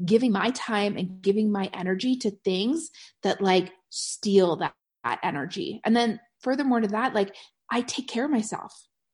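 Against a quiet background, a woman talks at a moderate pace. Her voice is somewhat breathy, with an animated tone. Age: 40s. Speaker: podcast host and network marketing coach. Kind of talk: casual solo podcast monologue.

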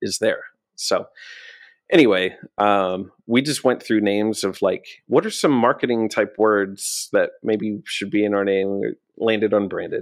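Against a silent background, this very clean recording carries speech at a fairly slow pace. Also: man. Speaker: social media business owner and musician. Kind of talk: casual interview chat. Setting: in-person studio, streamed live.

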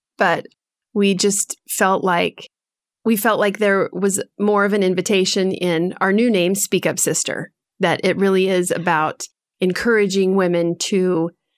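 Using a plain, everyday voice, a woman speaks at a fairly slow pace and medium pitch with fairly even intonation in a very clean recording with a silent background. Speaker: podcast co-host, guest. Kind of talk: interview, casual conversation.

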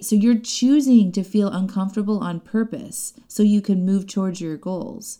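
Speaking in an American accent, a woman has a medium pitch and a dark, mellow tone. The recording is very clean, with a silent background. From US Midwest. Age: 40s. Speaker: podcast host and coach. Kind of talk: solo podcast monologue.

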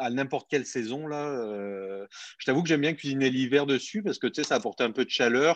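The background is quiet. The intonation is lively. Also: man. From southern France, Montpellier. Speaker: barbecue enthusiast, YouTuber. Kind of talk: casual interview. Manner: hesitant, many fillers.

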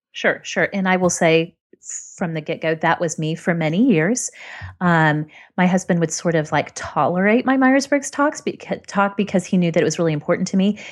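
At a moderate pace, a woman with a fairly low pitch and an unremarkable speaking voice talks with lively intonation against a quiet background. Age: 30s. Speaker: blogger. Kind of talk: casual chat.

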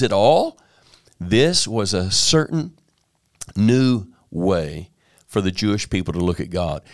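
A man is speaking. His pitch swings very widely. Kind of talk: teaching and prayer in group discussion. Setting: video call.

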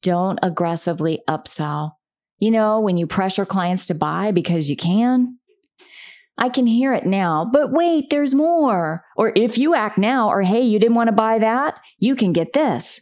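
A woman with a plain, everyday voice speaks at medium pitch and a moderate pace, her intonation lively and her loudness very even. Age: 50s. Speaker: podcast host, communications consultant. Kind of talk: solo podcast talk.

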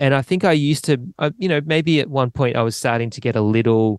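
Recorded dry and close with no echo, a man in an Australian accent speaks with ordinary pitch variation. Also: quiet background. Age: 30s. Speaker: drummer. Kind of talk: casual chat.

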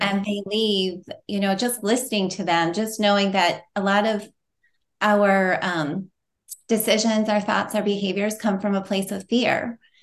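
A woman speaks at a fairly slow pace in a monotone, flat intonation against a quiet background. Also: medium pitch for a woman. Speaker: nurse and nutrition coach. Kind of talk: casual interview. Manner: gentle.

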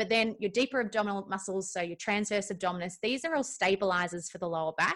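A woman with an Australian accent at a very fast pace with hardly any pauses, medium in pitch with ordinary pitch variation. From Melbourne, Australia. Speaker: Pilates instructor and nutritionist. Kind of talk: casual interview.

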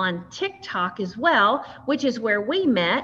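A woman in a Southern US accent talks at a fairly slow pace with a fairly high pitch. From US South, West Tennessee. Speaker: podcast host. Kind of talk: interview.

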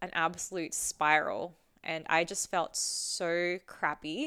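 In a very clean recording with a silent background, a woman with a fairly low pitch and a bright, sharp tone speaks at a very slow pace with fairly even intonation. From Adelaide, Australia. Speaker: fitness coach and mentor. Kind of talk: casual interview chat. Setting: in person, one shared mic.

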